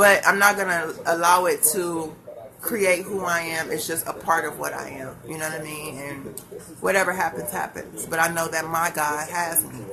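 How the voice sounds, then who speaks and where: A woman with a fairly low pitch and ordinary pitch variation speaks with big swings in loudness, amid noticeable background noise and audible room echo. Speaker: hair business owner and motivational vlogger. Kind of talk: motivational live stream talk. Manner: fast; animated.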